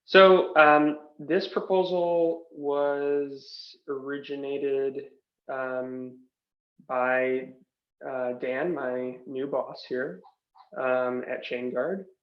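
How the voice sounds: Audible room echo surrounds a very slow pace and fairly even intonation. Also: man, medium pitch for a man.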